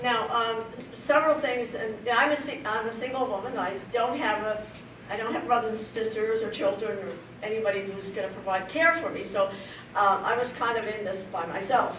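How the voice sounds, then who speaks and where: Over noticeable background noise and audible room echo, a woman talks at a moderate pace. Her pitch is fairly high, with ordinary variation. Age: 70s. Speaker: person living with early onset Alzheimer's sharing her story. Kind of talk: personal testimony at a community presentation. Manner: halting, with many fillers and restarts.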